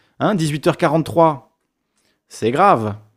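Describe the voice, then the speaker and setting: Very wide pitch swings in a very clean recording against a silent background. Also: man. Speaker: live streamer. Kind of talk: casual chat. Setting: live stream. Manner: fast.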